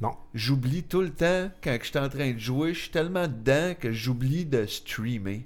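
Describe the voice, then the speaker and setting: A man with an unremarkable speaking voice talks at a fairly slow pace with lively intonation and hardly any pauses. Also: medium pitch for a man. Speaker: podcast co-host. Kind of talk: casual chat.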